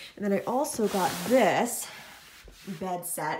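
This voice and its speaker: A woman's voice with lively intonation, audible room echo and noticeable background noise. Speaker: vlogger. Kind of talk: casual vlog. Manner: casual, chatty.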